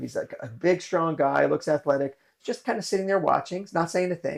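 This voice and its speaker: The voice belongs to a man. Its pitch moves in an ordinary way. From US West Coast, Los Angeles. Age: 60s. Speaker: martial arts instructor. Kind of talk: interview storytelling. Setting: studio office.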